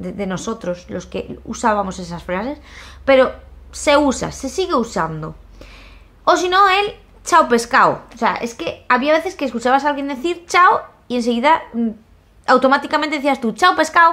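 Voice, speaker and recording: A woman with a Spanish accent speaks in a raised, projected voice, high in pitch, bright and sharp. Her tone is animated, with very wide pitch swings and long, frequent pauses. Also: moderate pace. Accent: Peninsular Spanish. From Spain. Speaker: YouTuber. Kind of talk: casual vlog monologue. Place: home room. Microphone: phone near.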